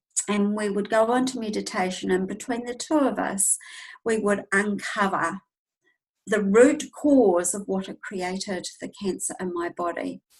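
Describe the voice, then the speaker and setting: In a New Zealand accent, the speech moves at a fairly slow pace. The voice is somewhat breathy, with ordinary pitch variation. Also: woman, medium pitch for a woman. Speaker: intuitive healer and teacher. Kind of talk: casual interview, personal testimony.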